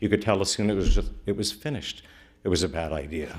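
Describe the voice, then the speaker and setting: A man with a Midwestern US accent and a very deep, low pitch talks at a very fast pace on a very clean recording with a silent background. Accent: US Midwest. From Middletown, Ohio. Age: 60s. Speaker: local attorney, public commenter. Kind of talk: public comment at council meeting. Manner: earnest, emphatic.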